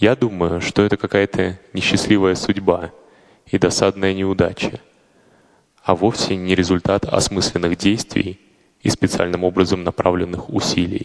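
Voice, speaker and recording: A man with a very deep, low pitch, monotone, flat intonation, very even loudness, a fairly slow pace and long, frequent pauses. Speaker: fellow podcaster voicing a translation. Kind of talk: reading aloud.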